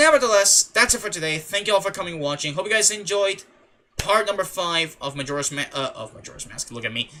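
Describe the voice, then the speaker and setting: At a fairly quick pace, a man with a high pitch projects a raised voice in a bright, sharp tone with very wide pitch swings. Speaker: gaming streamer. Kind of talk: live gameplay commentary. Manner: low-energy, subdued.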